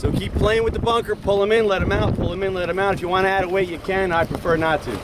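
Clear background noise sits behind a man's voice. He talks at a fast pace with a high pitch. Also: fairly even intonation.

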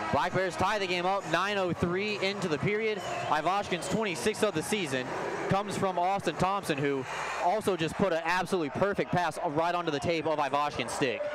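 A man's high-pitched voice at very even loudness, dry with no echo, over noticeable background noise. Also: ordinary pitch variation. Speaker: play-by-play hockey commentator. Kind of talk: live sports commentary. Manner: fast, excited play-by-play, rising on goals; animated. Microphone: headset.

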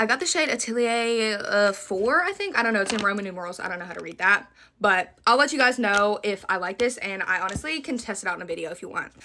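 With a Southern US accent, a woman races along at a very fast pace with hardly any pauses, lively intonation and big swings in loudness, over light background noise. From US South. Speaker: beauty content creator. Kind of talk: product haul video. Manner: animated. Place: home room. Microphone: phone near.

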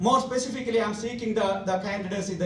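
A man's voice with fairly even intonation, audible room echo and light background noise. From India. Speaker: lawyer and judicial candidate; lawyer, candidate. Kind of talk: campaign speech. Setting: hall with audience. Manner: reading prepared speech. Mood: formal, earnest. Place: hall.

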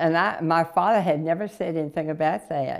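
A woman with a Southern US accent speaks at a fairly slow pace and a fairly low pitch against a quiet background. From North Carolina. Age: 80s+. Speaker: interviewee. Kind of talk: life story interview; interview answer. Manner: halting. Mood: warm, amused. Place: home room. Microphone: lapel.

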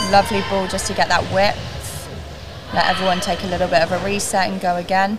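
Music plays in the background as a woman of medium pitch talks at a very fast pace. She leaves long, frequent pauses. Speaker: netball co-commentator and analyst. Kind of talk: live netball commentary. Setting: live at arena with cowbells ringing. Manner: animated, conversational, reacting quickly to each play.

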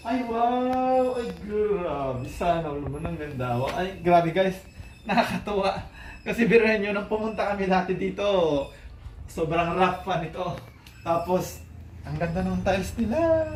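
Amid noticeable background noise and audible room echo, a man with a high voice and lively intonation speaks fairly slowly, leaving long, frequent pauses. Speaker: vlogger. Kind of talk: casual vlog house tour. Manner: animated.

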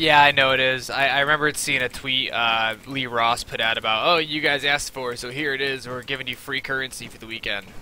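A man with an American accent speaks at medium pitch and a fairly quick pace, with hardly any pauses and flat, monotone intonation. His loudness swings widely, and the sound is dry with no echo over light background noise. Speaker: gaming streamer. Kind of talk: live gameplay commentary. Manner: casual, filler-heavy. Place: home room. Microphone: headset.

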